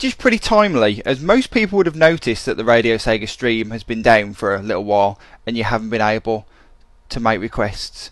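A man's upbeat, fairly quick delivery with lively intonation, against a quiet background. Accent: British. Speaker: internet radio DJ. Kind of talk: radio DJ patter introducing requests and tracks. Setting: radio studio broadcast stream. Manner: chatty, casual, upbeat, improvised with um's and tangents.

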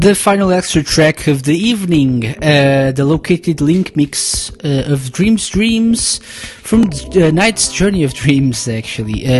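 A woman's upbeat, enthusiastic voice, very deep and low in pitch, with very wide pitch swings, a fairly slow pace and hardly any pauses over noticeable background noise. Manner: relaxed, chatty and friendly, with filler 'uh's, laughs and unscripted asides; upbeat, enthusiastic, with a cheerful show-host tone.

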